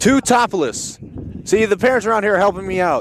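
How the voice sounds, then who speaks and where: Here a man talks with an American accent. Noticeable background noise can be heard. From US South, Louisiana. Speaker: college baseball play-by-play announcer. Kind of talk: live sports commentary. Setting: outdoors at ballpark.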